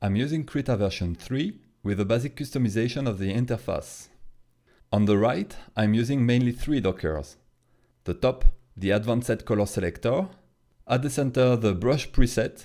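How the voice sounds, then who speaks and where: With a French accent, a man talks at a moderate pace. His voice sits at a medium pitch and has a dark, mellow tone. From France. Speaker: comic artist. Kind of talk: tutorial. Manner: hesitant.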